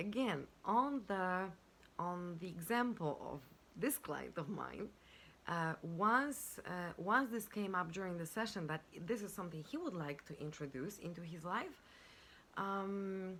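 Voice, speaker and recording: A woman speaks at a medium pitch with a non-native accent. Her intonation is lively and her pace fairly slow. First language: not English. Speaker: life and business coach. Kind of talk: self-help talk to camera. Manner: halting, with many fillers.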